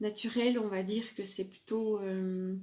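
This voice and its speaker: A woman with a strong Franche-Comté accent, medium in pitch, with fairly even intonation. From eastern France, Franche-Comté. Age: 40s. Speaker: makeup seller and live streamer. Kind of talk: live makeup tutorial with sales talk. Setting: live video stream. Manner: hesitant, many filler sounds.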